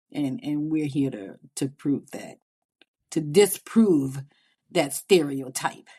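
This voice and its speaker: A woman with a Southern Louisiana accent speaks very slowly in a very deep, low pitch. Her tone is dark and mellow, and her intonation is lively. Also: big swings in loudness. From US South, Louisiana (New Orleans). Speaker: podcast co-host, mother. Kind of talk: casual chat.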